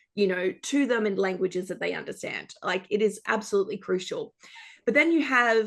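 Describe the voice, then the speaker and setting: A woman speaks with an Australian accent. She keeps a moderate pace. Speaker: journalist. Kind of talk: panel discussion. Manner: animated, many fillers.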